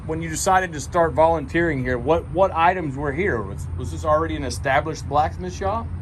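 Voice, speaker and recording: With hardly any pauses, a man in a Texan accent speaks with big swings in loudness over noticeable background noise. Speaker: interviewer. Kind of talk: casual interview chat. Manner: enthusiastic.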